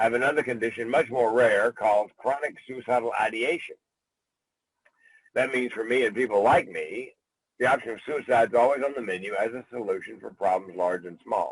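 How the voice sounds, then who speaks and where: A man talks at a fairly quick pace in an ordinary speaking voice, with a medium pitch and ordinary pitch variation. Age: 60s. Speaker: comedian and keynote speaker. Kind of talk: interview. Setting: podcast interview.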